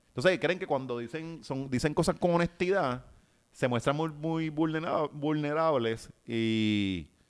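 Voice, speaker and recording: The background is quiet as a man speaks at a fairly slow pace. His pitch is fairly high and his intonation lively. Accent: Puerto Rican. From Puerto Rico. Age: 30s. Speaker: writer and social media personality; podcast guest. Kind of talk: casual interview chat. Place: home room. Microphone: studio mic.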